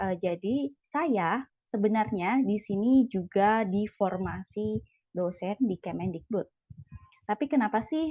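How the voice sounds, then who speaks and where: A somewhat breathy woman's voice at a medium pitch, with lively intonation. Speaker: CPNS exam coach, lecturer candidate. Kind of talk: online sharing session. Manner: disorganized, hesitant.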